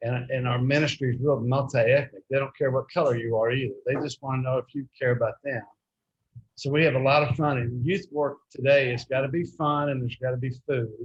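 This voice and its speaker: Somewhat breathy and medium in pitch, a man with a Texan accent talks at a fairly quick pace with fairly even intonation. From Texas, Fort Worth. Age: 70s. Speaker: youth minister. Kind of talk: club talk about his work. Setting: restaurant meeting.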